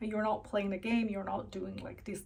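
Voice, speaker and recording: The woman's voice is somewhat breathy. Her pitch is medium. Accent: Chinese. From China, then Canada from youth. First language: Chinese. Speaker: vlogger. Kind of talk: personal vlog monologue. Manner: halting with fillers.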